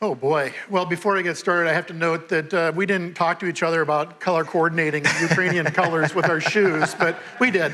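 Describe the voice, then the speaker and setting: Noticeable background noise sits behind a man speaking at a fairly quick pace. His pitch is high and his loudness very even. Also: fairly even intonation, hardly any pauses. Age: 60s. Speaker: mayor. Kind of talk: onstage interview. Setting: stage with audience.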